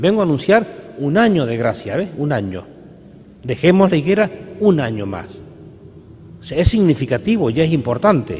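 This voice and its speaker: With noticeable background noise, a man speaks at a moderate pace and leaves long, frequent pauses. His fairly high voice moves in very wide pitch swings. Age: 60s. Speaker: priest. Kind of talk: sermon. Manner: halting.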